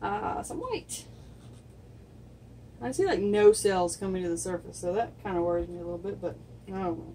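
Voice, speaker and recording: A woman talks at a moderate pace with big swings in loudness and long, frequent pauses, over noticeable background noise. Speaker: acrylic pour artist. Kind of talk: tutorial. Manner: soft-spoken.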